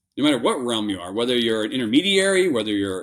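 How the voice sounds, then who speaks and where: A man with a Minnesotan accent speaks with very wide pitch swings. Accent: Minnesota. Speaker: business acquirer, entrepreneur. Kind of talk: interview conversation. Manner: halting, many restarts and fillers.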